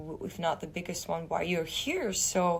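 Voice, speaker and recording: A woman's somewhat breathy, fairly low-pitched voice with a non-native accent, at a fairly slow pace. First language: not English. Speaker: actress. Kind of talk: interview. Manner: halting.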